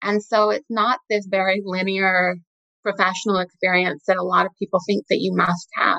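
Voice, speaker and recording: Very even in loudness and flat in intonation, a woman speaks at a moderate pace and medium pitch in a dry, close sound with no echo. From Utah, US. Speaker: investment director. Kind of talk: interview.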